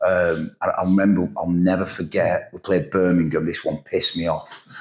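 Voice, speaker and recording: Noticeable background noise surrounds a man speaking with a northern English accent. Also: moderate pace. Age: 50s. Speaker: football manager. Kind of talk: casual chat.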